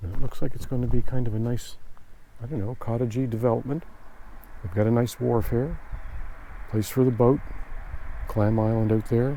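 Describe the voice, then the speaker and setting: Speaking at a fairly quick pace with long, frequent pauses, a man keeps a medium pitch and fairly even intonation. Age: 60s. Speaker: army veteran and former shop owner. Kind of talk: casual reminiscence.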